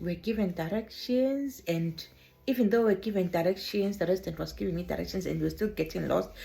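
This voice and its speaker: Music plays behind a woman with a medium pitch. She speaks at a fairly quick pace with lively intonation. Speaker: care worker vlogger. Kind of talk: personal storytelling vlog. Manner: animated.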